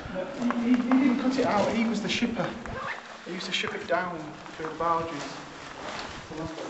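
The speech moves at a very fast pace. Loud noise fills the background. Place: tunnel cave. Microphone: camera far.

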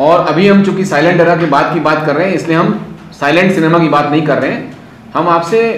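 Audible room echo and noticeable background noise fill the recording. A man speaks in a high pitch with fairly even intonation. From North India, Allahabad. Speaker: film society organiser. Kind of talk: talk to students.

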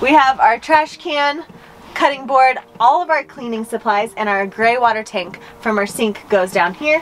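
A high-pitched woman with lively intonation at a moderate pace, with light background noise. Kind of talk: casual vlog chat. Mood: cheerful, playful. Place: home room. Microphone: camera far.

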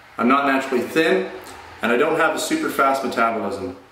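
A man talks at a fairly quick pace. The room echo is audible. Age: 40s. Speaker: fitness vlogger. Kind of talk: channel intro monologue. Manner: casual. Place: gym. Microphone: phone near.

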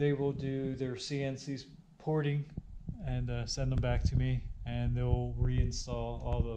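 Very slow speech against noticeable background noise. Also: man. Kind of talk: casual vlog chat. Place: garage. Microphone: phone near.

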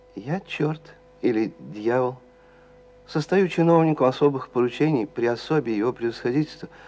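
Ordinary pitch variation from a male speaker, moderate in pace. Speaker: actor reading a story. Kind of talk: literary narration reading.

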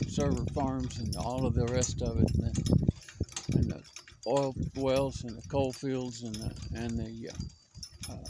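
Loud background noise around a dry sound with no echo. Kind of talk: casual vlog monologue. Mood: reflective, critical. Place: open country. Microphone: phone near.

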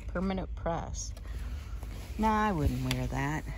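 Very slow pace, a dry sound with no echo, and clear music in the background. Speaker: vlogger. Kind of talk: casual vlog chat. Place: shop. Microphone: phone near.

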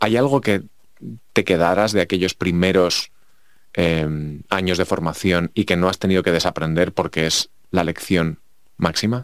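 A man with a very deep, low pitch talks fairly slowly, with ordinary pitch variation and very even loudness. The recording is very clean, with a silent background. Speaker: podcast host. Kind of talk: interview.

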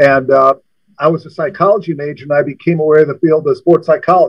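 A man speaks with an American accent, his pitch fairly high. The background is quiet. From US Midwest. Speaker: former college basketball coach. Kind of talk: casual interview. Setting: studio. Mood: relaxed, reminiscing. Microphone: video call.

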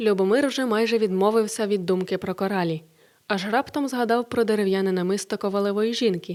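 An unforced reading voice with intonation that stays fairly even

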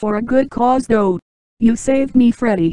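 A female-sounding put-on character voice with a fairly high pitch. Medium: machinima. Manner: grateful.

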